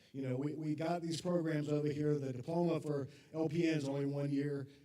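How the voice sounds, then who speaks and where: Monotone, flat intonation at a fairly quick pace, with noticeable background noise. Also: man, fairly high pitch for a man. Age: 50s. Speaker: college academic advisor. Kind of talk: informational talk to parents. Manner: loud.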